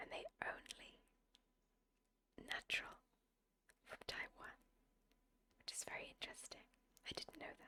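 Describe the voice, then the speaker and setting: Whispering in a calm, relaxed tone, a woman leaves long, frequent pauses. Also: fairly slow pace. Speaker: ASMR gameplay creator. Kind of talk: ASMR soft spoken gameplay commentary. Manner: soft-spoken, calm, relaxed.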